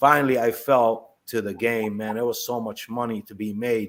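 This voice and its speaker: A man with an American accent and an unremarkable speaking voice, at a moderate pace with fairly even intonation. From Palestine, then Chicago from age 12. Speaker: former prisoner. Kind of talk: testimony.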